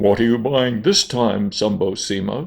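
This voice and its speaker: Putting on a booming character voice, a man speaks at a medium pitch and a moderate pace. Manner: loud, hearty.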